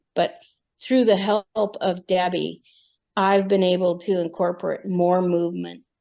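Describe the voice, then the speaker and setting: A woman speaks fairly slowly in a fairly low voice with a dark, mellow tone. Her intonation is fairly even, and the background is quiet. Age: 60s. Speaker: support group member. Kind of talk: casual chat.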